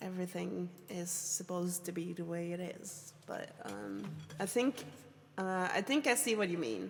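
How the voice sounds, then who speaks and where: The woman has a medium pitch. Vocal fry runs through her voice. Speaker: streamer teaching songwriting. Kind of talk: live stream tutorial. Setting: live stream with chat. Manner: hesitant, many fillers.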